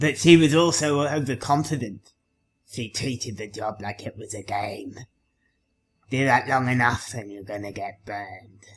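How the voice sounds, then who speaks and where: Putting on a raspy character voice, a man talks at a moderate pace and medium pitch with ordinary pitch variation. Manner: put-on character voice, narrating.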